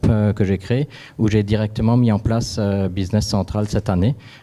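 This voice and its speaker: A dark, mellow tone carried with fairly even intonation. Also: man. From Alsace, France. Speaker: company founder. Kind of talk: panel discussion.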